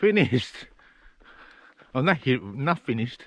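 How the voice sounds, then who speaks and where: The speaker goes at a very slow pace with very wide pitch swings. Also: man. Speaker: travel vlogger, former street performer. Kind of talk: casual vlog narration. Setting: outdoors. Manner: halting.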